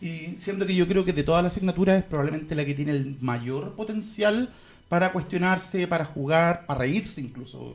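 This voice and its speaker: A man with a Chilean accent talks at a fairly quick pace in a high voice, his pitch varying in an ordinary way. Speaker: podcast co-host, philosophy teacher. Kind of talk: casual chat.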